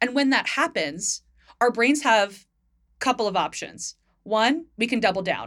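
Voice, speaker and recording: A woman with an American accent speaks fairly slowly at a fairly high pitch, with vocal fry. Her intonation is lively and her loudness very even. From US Northeast, northern New Jersey. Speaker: podcast co-host, equity consultant. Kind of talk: casual chat.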